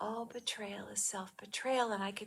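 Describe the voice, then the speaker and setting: Her tone comes across bright and sharp. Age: 60s. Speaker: spiritual wellness speaker. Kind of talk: personal reflective monologue. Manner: conversational, with frequent fillers and repetitions.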